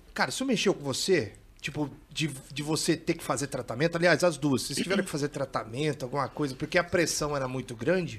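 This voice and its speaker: A man with a fairly high, somewhat breathy voice speaks at a very fast pace, with ordinary pitch variation. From São Paulo state interior, Brazil. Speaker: podcast host. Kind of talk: casual chat.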